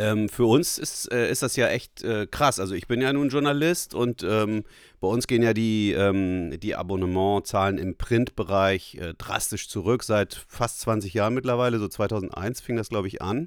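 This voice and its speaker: Spoken at a moderate pace with hardly any pauses and ordinary pitch variation, the voice sits in a very clean recording against a silent background. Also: man, fairly low pitch for a man. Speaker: journalist and podcast host. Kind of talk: casual chat. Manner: halting, many fillers.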